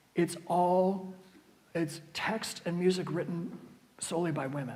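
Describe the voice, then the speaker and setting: A man's high-pitched voice with an American accent, audible room echo and noticeable background noise. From US, West Virginia northern panhandle (near Pittsburgh). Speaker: church music director and organist. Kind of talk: adult education talk with Q&A. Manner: halting, many fillers and restarts.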